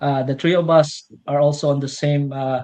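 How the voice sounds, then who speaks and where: In a Filipino accent, a man speaks with a dark, mellow tone. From Philippines, rural farming province. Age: 30s. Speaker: millwright mechanic, interview guest. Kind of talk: personal testimony in livestream interview. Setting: live stream. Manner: halting, many fillers.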